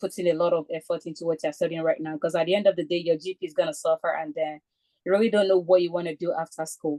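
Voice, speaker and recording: Her voice has a dark, mellow tone and ordinary pitch variation, recorded dry and close with no echo. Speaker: chemistry graduate student. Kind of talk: webinar talk. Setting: video call. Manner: fast.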